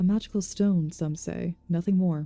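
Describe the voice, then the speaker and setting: A soft-spoken woman talks in a calm tone at a moderate pace and a fairly low pitch. Music plays in the background. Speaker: ASMR reader / streamer. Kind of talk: fantasy lore book reading. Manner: soft, calm.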